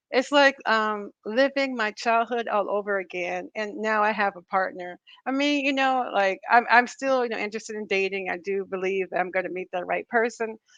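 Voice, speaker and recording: A woman with a plain, everyday voice speaks at a moderate pace and a fairly high pitch, with hardly any pauses, in a dry, close sound with no echo against a quiet background. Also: ordinary pitch variation. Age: 50s. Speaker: vlogger. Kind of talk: casual chat. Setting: live stream.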